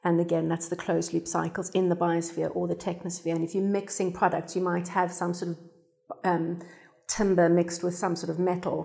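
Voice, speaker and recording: A woman with a fairly low voice, a dark, mellow tone and vocal fry speaks with monotone, flat intonation. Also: fairly quick pace. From South Africa. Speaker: sustainability design consultant. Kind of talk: panel discussion. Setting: studio.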